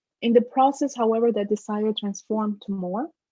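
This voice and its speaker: At a fairly quick pace, a woman speaks in a fairly high voice with ordinary pitch variation. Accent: Spanish. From Dominican Republic, then Trenton, New Jersey from age 12. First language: Spanish. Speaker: professor, keynote speaker. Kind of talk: keynote lecture.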